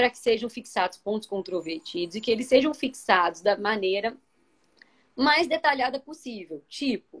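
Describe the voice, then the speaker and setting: This woman's fairly high pitch moves through very wide swings. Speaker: labor judge. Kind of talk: live video discussion. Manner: fast.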